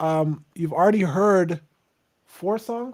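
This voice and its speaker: Soft-spoken and very slow, a man talks at a high pitch with lively intonation. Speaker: singer-songwriter hosting a livestream. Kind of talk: casual livestream chat.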